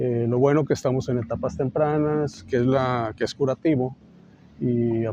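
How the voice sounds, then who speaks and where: A man speaks at a fairly slow pace in an ordinary speaking voice. His pitch is medium, with ordinary variation. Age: 60s. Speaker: surgeon, cancer survivor. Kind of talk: testimony.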